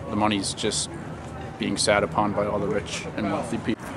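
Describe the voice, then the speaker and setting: With a Maine accent, a man talks at a moderate pace in a fairly low pitch and fairly even intonation, with audible room echo and noticeable background noise. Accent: New England (Maine). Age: 20s. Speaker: protester. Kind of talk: street interview. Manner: halting.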